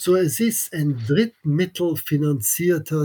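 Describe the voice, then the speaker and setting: The man's voice is somewhat breathy, and he speaks very slowly. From Austria (Vienna), American family. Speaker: economics professor. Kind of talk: interview. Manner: halting, many fillers.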